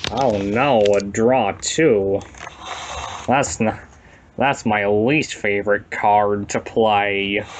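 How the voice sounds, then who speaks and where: A put-on character voice, nasal and fairly even in intonation. It moves at a very slow pace with long, frequent pauses. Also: man, fairly low pitch for a man. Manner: comic, silly.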